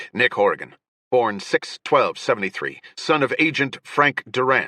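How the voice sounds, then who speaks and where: A man in a put-on character voice speaks at a moderate pace, his loudness very even, the sound dry and close with no echo. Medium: read story. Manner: authoritative, clipped.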